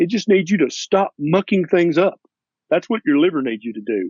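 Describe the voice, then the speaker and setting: Speaking at a moderate pace with a Tennessee accent, the voice moves through very wide pitch swings. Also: man. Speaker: family physician. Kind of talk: interview.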